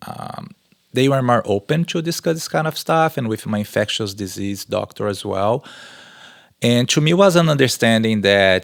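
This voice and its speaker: Speaking at a moderate pace with lively intonation, a man with a Brazilian accent comes through in a dry, close sound with no echo. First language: Portuguese. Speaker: research professor and exercise scientist. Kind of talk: podcast interview answer.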